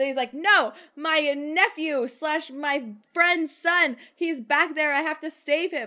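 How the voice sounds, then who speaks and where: Raising and projecting her voice, a woman speaks with a bright, sharp tone and ordinary pitch variation on a very clean recording with a silent background. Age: 20s. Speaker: film podcast guest. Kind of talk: casual chat.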